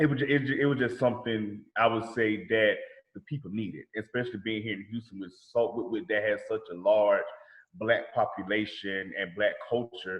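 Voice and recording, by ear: With a Southern US accent, a man speaks at a moderate pace, with fairly low pitch and fairly even intonation.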